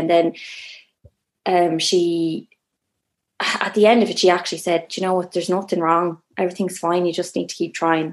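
In an Irish accent, the voice runs at a fairly quick pace with monotone, flat intonation. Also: woman. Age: 30s. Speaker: first-time mother sharing birth story. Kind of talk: casual interview, personal story.

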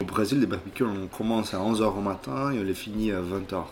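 Fairly slow and fairly low-pitched, a man speaks with fairly even intonation over noticeable background noise. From Brazil, Belo Horizonte (Minas Gerais). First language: Portuguese (speaking French). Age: 30s. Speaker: restaurant manager and former lawyer. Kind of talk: interview. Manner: halting.

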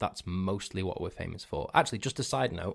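On a very clean recording with a silent background, a man with a Cheshire accent speaks at a fairly quick pace in a fairly low pitch. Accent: northern English (Cheshire). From northern England. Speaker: podcast host. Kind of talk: casual solo chat. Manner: rambling, self-correcting, playful.

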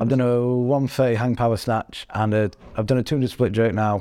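The speaker has a Yorkshire accent and a dark, mellow tone. Delivery is fairly quick, with ordinary pitch variation. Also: man, very clean recording, silent background. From Sheffield, northern England. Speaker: strongman athlete. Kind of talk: casual chat.

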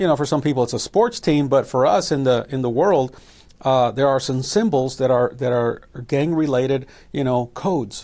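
In an American accent, a man with an ordinary speaking voice talks at a moderate pace, with a medium pitch and ordinary pitch variation. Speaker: missionary and evangelist. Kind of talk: testimony.

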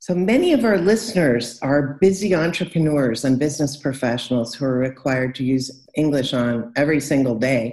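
At a moderate pace, a woman speaks with lively intonation in a very deep, low voice. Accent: Californian. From California. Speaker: podcast host and English coach. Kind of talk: interview.

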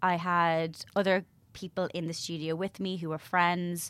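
A woman with an Irish accent speaks very slowly in a fairly low, monotone voice with flat intonation, on a very clean recording with a silent background. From Ireland, Bray, County Wicklow. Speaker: media personality and goodwill ambassador. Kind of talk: casual chat.

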